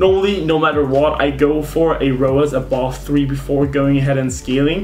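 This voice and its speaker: A man with a fairly high voice keeps his intonation fairly even, amid audible room echo and noticeable background noise. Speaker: e-commerce marketing youtuber. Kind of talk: tutorial. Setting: screen recording at computer. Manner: fast; casual.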